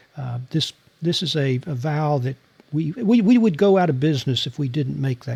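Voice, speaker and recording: This man has an American accent and a somewhat breathy, fairly high voice. He talks at a moderate pace with lively intonation. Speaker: former intelligence officer and novelist. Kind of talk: interview.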